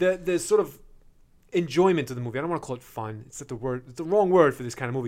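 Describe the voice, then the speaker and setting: Speaking at a very fast pace, a man with a fairly high pitch uses lively intonation and big swings in loudness. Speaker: podcast co-host, movie critic. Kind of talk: casual chat.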